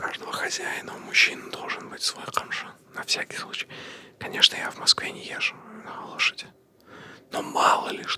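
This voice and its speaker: Whispering in a calm tone at a moderate pace, a man pauses long and often, his loudness swinging widely over noticeable background noise. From grew up in Kazakhstan, lives in Moscow. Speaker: comedian and podcast co-host. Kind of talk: whispered personal story told to camera for ASMR. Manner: whispered, soft, calm.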